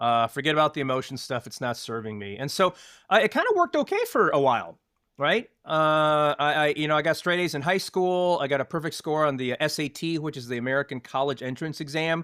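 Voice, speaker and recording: A man with a plain, everyday voice speaks at a fairly quick pace, pitched fairly high with ordinary variation, in a dry, close sound with no echo on a very clean recording against a silent background. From US (moved from Taiwan at age three). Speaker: former tech company leadership trainer. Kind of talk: interview. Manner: many fillers (uh, um).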